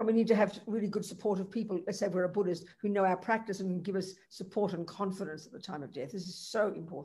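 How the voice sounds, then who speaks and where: At a fairly quick pace with hardly any pauses, a woman speaks in a medium pitch with a dark, mellow tone, somewhat breathy, with big swings in loudness. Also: fairly even intonation. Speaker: Buddhist nun teacher. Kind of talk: Dharma teaching with Q&A over interpreter. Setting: video call.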